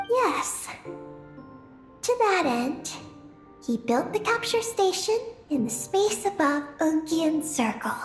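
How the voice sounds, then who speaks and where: Over clear background music, a cartoonish character voice at an extremely high pitch moves at a fairly slow pace with very wide pitch swings. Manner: calm, matter-of-fact.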